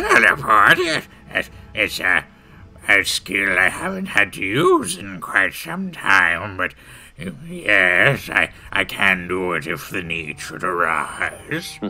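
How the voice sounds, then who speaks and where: A man puts on a character voice, fairly low in pitch. He speaks at a very slow pace. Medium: actual play. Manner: cranky, dismissive, eccentric.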